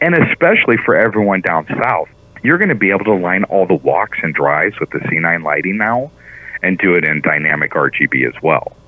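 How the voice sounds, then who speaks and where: Against noticeable background noise, a man with a very deep, low pitch talks fairly quickly with lively intonation. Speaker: CEO of a Christmas lighting company. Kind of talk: radio interview. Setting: phone call. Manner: fast.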